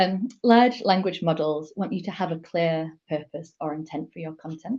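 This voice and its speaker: In a strong Yorkshire accent, a woman speaks with a fairly low pitch and a dark, mellow tone. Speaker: digital strategist and conference speaker. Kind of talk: talk at an online meetup.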